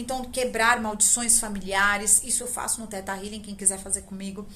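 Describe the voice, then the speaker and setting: Audible room echo and noticeable background noise around a woman's moderate pace. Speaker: spiritual teacher and tarot channel host. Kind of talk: spiritual talk to camera. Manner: casual, conversational.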